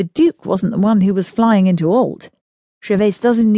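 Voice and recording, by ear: The speaker is reading aloud in a natural voice with fairly even intonation, and the background is quiet.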